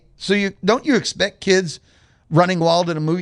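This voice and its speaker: A man speaks loud and high at a moderate pace, with ordinary pitch variation over a quiet background. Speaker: radio host. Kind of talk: radio talk show monologue.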